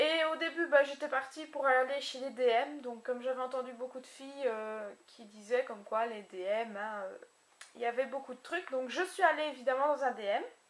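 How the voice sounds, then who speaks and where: A woman's high voice, moving at a moderate speed with ordinary pitch variation, comes through noticeable background noise. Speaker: beauty vlogger. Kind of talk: casual haul video. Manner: animated.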